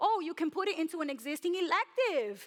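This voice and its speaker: The voice moves at a fairly quick pace with very wide pitch swings and an energetic tone. The sound is dry and close, with no echo. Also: woman. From New York City. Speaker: personal finance educator. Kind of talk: conference talk.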